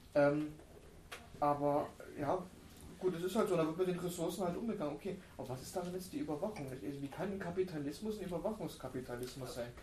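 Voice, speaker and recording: A man with a high pitch talks at a very fast pace with ordinary pitch variation and long, frequent pauses, amid audible room echo and noticeable background noise. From former East Germany. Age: 30s. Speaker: book discussion co-host. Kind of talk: panel discussion.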